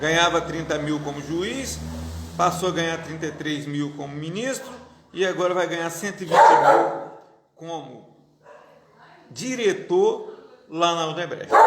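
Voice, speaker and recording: High male voice, fairly slow and with lively intonation, broken by long, frequent pauses, with audible room echo and noticeable background noise. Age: 50s. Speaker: pastor. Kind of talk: political commentary monologue. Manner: halting.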